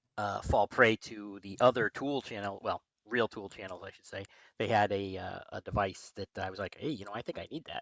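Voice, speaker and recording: A man mumbles at a fairly quick pace with a fairly low pitch and ordinary pitch variation. His loudness swings widely, and the sound is dry and close with no echo. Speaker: sci-fi podcast co-host. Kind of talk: casual chat. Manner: mumbling.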